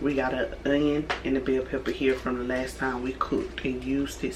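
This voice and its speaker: Audible room echo around speech at a moderate pace. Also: woman. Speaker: YouTuber, home cook. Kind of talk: cooking tutorial vlog. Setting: home kitchen. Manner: casual, conversational.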